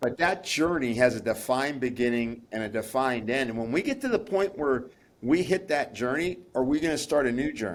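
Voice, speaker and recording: A man with a plain, everyday voice of medium pitch speaks at a fairly quick pace with lively intonation. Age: 60s. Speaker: pharmacist and nutritionist. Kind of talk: interview.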